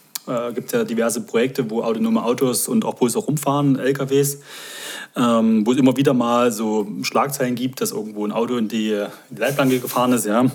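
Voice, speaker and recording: A man's fairly even, medium-pitched voice moves at a fairly quick pace while noticeable background noise continues. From Saxony, near Dresden. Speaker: guest, new resident. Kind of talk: casual chat.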